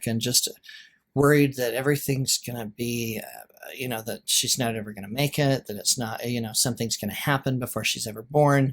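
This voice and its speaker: A man with a Western American accent, medium pitch, fairly even intonation, a fairly quick pace and big swings in loudness. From Utah. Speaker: realtor and writer. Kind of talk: podcast interview answer.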